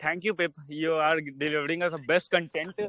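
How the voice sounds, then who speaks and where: With an Indian accent, a man speaks at a high pitch and a moderate pace in a dry, close sound with no echo. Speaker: crypto investor in online class audience. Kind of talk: casual question in live online session.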